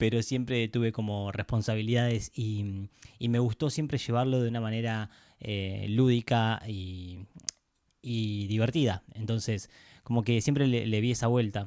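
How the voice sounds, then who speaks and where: A man with an Argentine accent, dark, mellow tone, fairly even intonation and fairly slow pace, on a very clean recording with a silent background. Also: medium pitch for a man. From Argentina, Pinamar (Buenos Aires coast). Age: 30s. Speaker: podcast host, architect. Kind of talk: casual podcast monologue. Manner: hesitant, with fillers and repetitions.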